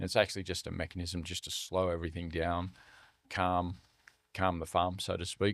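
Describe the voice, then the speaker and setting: With an Australian accent and a very deep, low pitch, a man talks at a fairly quick pace in a flat monotone, recorded very cleanly over a silent background. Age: 60s. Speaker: charity CEO. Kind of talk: podcast interview.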